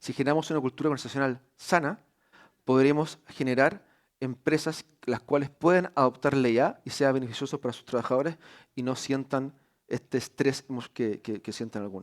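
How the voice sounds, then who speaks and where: A man with a medium-pitched voice talks at a fairly quick pace, with ordinary pitch variation and big swings in loudness. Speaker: university executive. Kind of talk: conference talk. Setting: stage with audience. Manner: fast; hesitant fillers.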